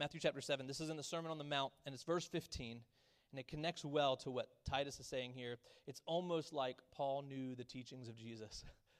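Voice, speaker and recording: Fairly quick and fairly even in intonation, a man talks in a plain, everyday voice at a fairly high pitch. The sound is dry and close, with no echo. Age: 30s. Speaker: pastor. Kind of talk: sermon.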